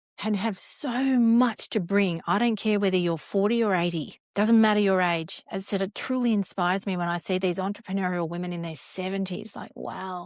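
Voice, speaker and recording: Speaking at a moderate pace, a woman uses a medium pitch and an Australian accent. She takes hardly any pauses. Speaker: cancer survivor and wellness founder. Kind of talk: podcast interview. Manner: loud, energetic.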